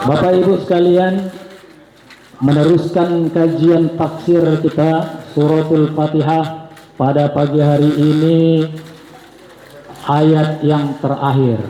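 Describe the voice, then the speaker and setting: A man with a fairly high pitch speaks at a very slow pace, leaving long, frequent pauses, his intonation monotone and flat and his loudness very even. Audible room echo and noticeable background noise fill the recording. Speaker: Islamic preacher. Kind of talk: sermon. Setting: mosque. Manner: soft-spoken; formal.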